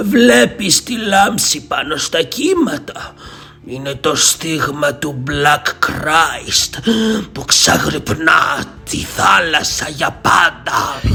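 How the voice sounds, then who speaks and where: Over clear background noise, a man uses a put-on character voice pitched fairly high. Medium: read story. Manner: ominous, solemn.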